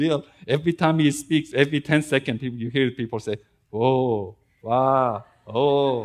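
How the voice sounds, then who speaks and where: A man talks at a moderate pace with ordinary pitch variation. Behind him the background is quiet. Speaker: preacher. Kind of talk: sermon. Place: church.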